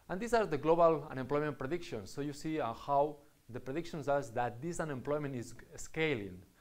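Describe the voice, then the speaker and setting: Room echo is audible as a man speaks at a fairly high pitch with lively intonation. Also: fairly quick pace. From Spain (Catalonia). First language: Spanish or Catalan. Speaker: university lecturer. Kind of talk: lecture. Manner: halting, with fillers.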